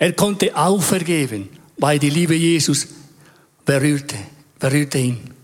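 A man with a Spanish accent speaks fairly slowly at a fairly high pitch, keeping his loudness very even. Long, frequent pauses break up his speech. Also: ordinary pitch variation. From Chile. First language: Spanish (speaking German). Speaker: church member. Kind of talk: testimony.

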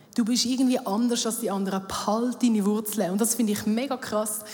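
Flat, monotone delivery from a woman with a fairly high pitch, plus audible room echo and noticeable background noise. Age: 30s. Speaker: church youth worker. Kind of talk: sermon. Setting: stage with audience.

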